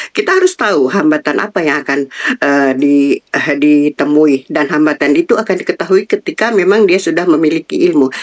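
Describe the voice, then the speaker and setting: A woman with a very deep, low voice speaks at a fairly quick pace with hardly any pauses and ordinary pitch variation. The sound is dry and close, with no echo. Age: 60s. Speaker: retired civil servant. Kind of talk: interview.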